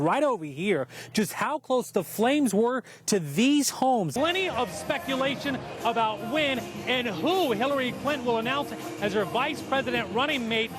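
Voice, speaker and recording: Music plays in the background as a man speaks in an energetic tone. His pitch is extremely high and swings very widely. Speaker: television news reporter. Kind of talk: TV news reporting. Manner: energetic, engaging.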